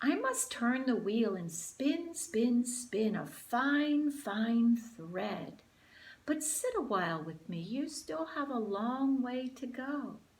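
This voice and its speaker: A woman's high-pitched put-on character voice with lively intonation at a very slow pace. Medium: read story. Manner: gentle, kindly.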